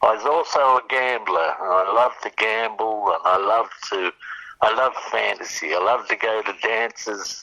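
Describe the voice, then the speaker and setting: At a fairly slow pace, a man speaks at medium pitch with an Australian accent. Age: 80s+. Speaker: recovering alcoholic sharing story. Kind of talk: testimony. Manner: halting.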